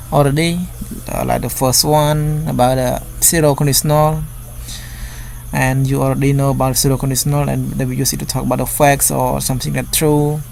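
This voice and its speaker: Noticeable background noise behind speech at a moderate speed. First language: non-native English speaker. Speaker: English teacher. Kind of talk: tutorial. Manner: halting.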